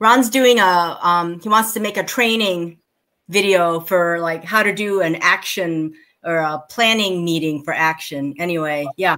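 Against a quiet background, a woman with a fairly low pitch and a bright, sharp tone speaks with ordinary pitch variation. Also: fairly slow pace. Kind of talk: casual meeting talk. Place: home room.

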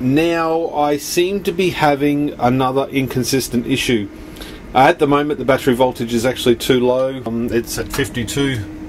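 A man at a moderate pace with ordinary pitch variation and light background noise. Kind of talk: casual vlog explanation. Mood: mildly frustrated, troubleshooting. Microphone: phone near.

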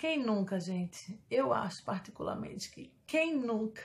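The speaker sounds somewhat breathy and talks at a fairly slow pace. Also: woman. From Brazil. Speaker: YouTuber. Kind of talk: casual vlog monologue. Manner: animated. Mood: playful, joking confessions. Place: home room. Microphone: phone near.

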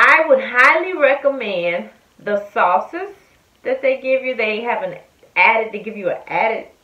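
With lively intonation and a high pitch, a woman speaks at a moderate pace. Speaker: food reviewer. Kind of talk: casual vlog chat. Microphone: phone near.

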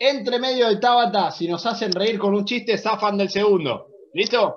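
A man speaks in an energetic tone at a high pitch. His pace is fairly slow. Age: 30s. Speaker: fitness coach. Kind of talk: online workout class. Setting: video call. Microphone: video call.

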